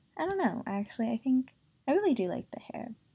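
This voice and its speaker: Somewhat breathy and dark, mellow in tone, a woman's voice moves at a moderate pace. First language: Spanish. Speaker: doll collector YouTuber. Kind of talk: casual review vlog. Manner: hesitant, many fillers.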